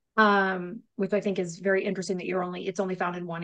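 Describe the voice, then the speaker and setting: The speaker has an American accent. The delivery is very fast. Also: woman. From upstate New York. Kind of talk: casual chat podcast.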